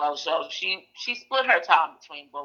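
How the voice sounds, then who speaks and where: A woman speaks at a fairly slow pace. She has a Brooklyn accent. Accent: New York (Brooklyn). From Brooklyn, New York. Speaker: aunt of a missing woman. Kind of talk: interview.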